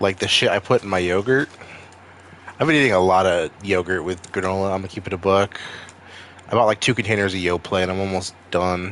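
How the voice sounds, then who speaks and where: Over noticeable background noise, a man with an American accent and very deep, low pitch talks at a fairly quick pace with long, frequent pauses. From Maine, US. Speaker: streamer. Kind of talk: casual chat. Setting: live stream. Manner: animated.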